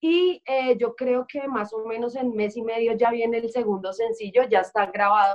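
A normal speaking voice at a moderate pace, with ordinary pitch variation and hardly any pauses. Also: woman, fairly high pitch for a woman. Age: 20s. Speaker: singer. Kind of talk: interview.

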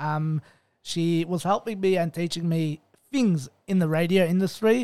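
Recorded very cleanly, with a silent background and a dry, close sound with no echo, a man with an Australian accent speaks at a fairly slow pace in a high pitch, with a dark, mellow tone and ordinary pitch variation. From Melbourne, Australia. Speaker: podcast host. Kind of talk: casual interview. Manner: hesitant, many fillers and repetitions.

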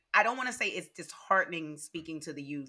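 With lively intonation, a woman speaks in an animated tone that is bright and sharp. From Louisiana. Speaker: social media voting advocate and theater actress. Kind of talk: social media video monologue; casual interview chat.

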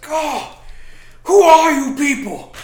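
A put-on character voice pitched high. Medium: actual play. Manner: taunting, folksy.

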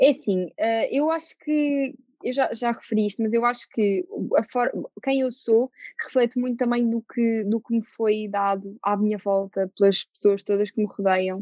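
Speaking at a moderate pace, a woman with a fairly high pitch and ordinary pitch variation has an unremarkable speaking voice. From Portugal, Lisbon. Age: 20s. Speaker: actress. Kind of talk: casual interview.

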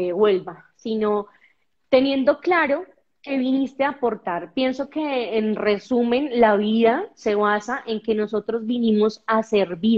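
In an animated tone, a woman speaks at a fairly high pitch. Her pace is fairly slow, with ordinary pitch variation. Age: 30s. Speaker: skating instructor and presenter. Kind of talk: podcast interview.

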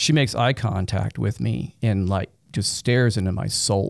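Speaking at a moderate pace with vocal fry, a man uses a fairly low pitch and ordinary pitch variation, recorded dry and close with no echo. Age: 40s. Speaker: tech executive, concert eyewitness. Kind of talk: interview testimony.

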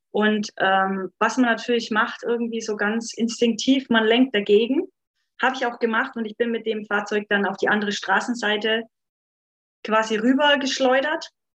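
Fairly even intonation with an Upper Franconian accent. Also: woman. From Upper Franconia, Bavaria. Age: 30s. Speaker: life coach. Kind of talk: personal testimony in podcast interview.

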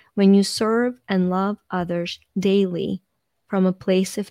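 A woman with a Ukrainian accent speaks at a very slow pace in a medium-pitched voice with a dark, mellow tone. Her intonation is monotone and flat, and the sound is dry and close with no echo. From Ukraine. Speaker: life coach. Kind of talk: podcast interview. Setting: video call.

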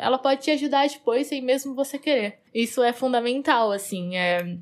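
A woman's high-pitched voice carries ordinary pitch variation. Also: very clean recording, silent background. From Brazil, interior of São Paulo state. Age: 20s. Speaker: software engineer. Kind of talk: casual monologue.

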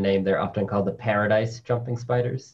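His delivery moves at a moderate pace. The man sounds somewhat breathy. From New York City. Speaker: spider scientist. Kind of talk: interview. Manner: animated.

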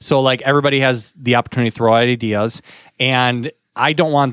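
An ordinary speaking voice moves at a fairly quick pace with fairly even intonation, the sound dry and close with no echo. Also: man. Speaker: podcast co-host. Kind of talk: casual conversational podcast.

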